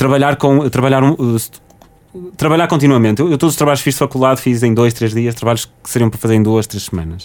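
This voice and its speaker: In an ordinary speaking voice, a man talks at a medium pitch, his pitch varying in an ordinary way. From Portugal, Porto. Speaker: recently graduated software engineer, former student radio host. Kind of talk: casual interview.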